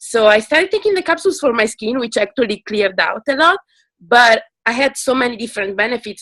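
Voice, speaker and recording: Heard in a dry, close sound with no echo, a woman speaks at a fairly high pitch with lively intonation. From Italy. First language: Italian. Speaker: product customer. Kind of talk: testimony.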